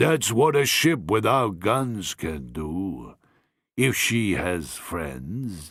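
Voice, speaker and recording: A man's put-on character voice at a medium pitch, very slow, with very wide pitch swings. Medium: read story. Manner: hearty, blunt.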